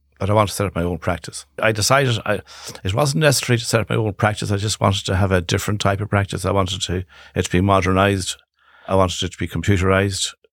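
A man with a fairly low voice talks at a very fast pace, with ordinary pitch variation, on a very clean recording with a silent background. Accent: western Irish. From Ireland, Galway. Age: 60s. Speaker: solicitor and clinic founder. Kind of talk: podcast interview. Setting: studio.

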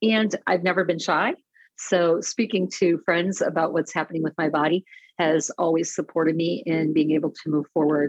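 With a normal speaking voice, a woman speaks at a moderate pace and fairly low pitch, her intonation fairly even and her loudness very even. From Detroit area. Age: 50s. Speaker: personality assessment coach. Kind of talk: casual chat.

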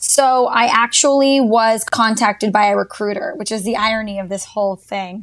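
A woman with an American accent and an ordinary speaking voice talks at a moderate pace, using a fairly high pitch and fairly even intonation. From Texas, Dallas. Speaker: social media marketer. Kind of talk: casual chat.

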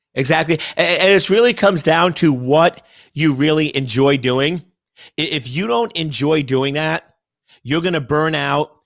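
A man with an ordinary speaking voice, fairly high in pitch with ordinary pitch variation, talks at a moderate pace on a very clean recording with a silent background. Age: 50s. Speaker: cybersecurity expert. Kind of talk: interview.

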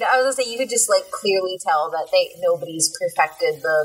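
A woman with an American accent and lively intonation at a moderate pace, over noticeable background noise. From Texas. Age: 20s. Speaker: podcast co-host. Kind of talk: casual chat.

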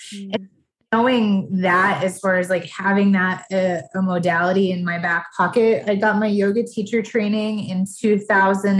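The voice is somewhat breathy, with fairly even intonation and a fairly slow pace. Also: woman. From Massachusetts. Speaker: life coach. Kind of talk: casual chat.

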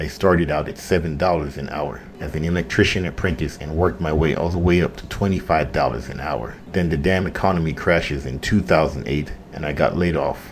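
Someone with an American accent speaks with ordinary pitch variation and hardly any pauses over noticeable background noise. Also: man, very deep, low pitch for a man, moderate pace. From Jamaica. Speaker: podcast host and general contractor. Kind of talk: casual monologue intro. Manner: casual, animated, profane.

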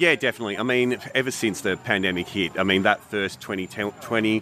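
This is a plain, everyday voice, a man talking with ordinary pitch variation. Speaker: product company representative.

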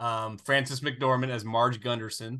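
Against a quiet background, a man of medium pitch speaks with a bright, sharp tone. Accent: American. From US South. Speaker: movie podcast co-host. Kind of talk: casual chat.

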